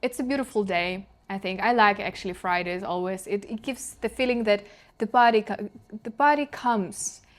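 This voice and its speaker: The speaker has a Ukrainian accent, captured in a very clean recording with a silent background. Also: woman. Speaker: channeler and intuitive guide. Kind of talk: video diary monologue. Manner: halting, self-correcting.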